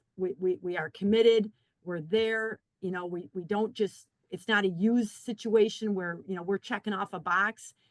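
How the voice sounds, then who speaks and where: A woman talks at a medium pitch. The sound is dry and close, with no echo. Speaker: community college staff member. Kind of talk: webinar panel discussion. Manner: fast.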